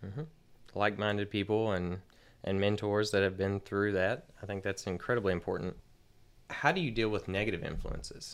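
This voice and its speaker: A man with a normal speaking voice, fairly low pitch, ordinary pitch variation and a fairly quick pace. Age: 30s. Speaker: podcast host. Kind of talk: interview.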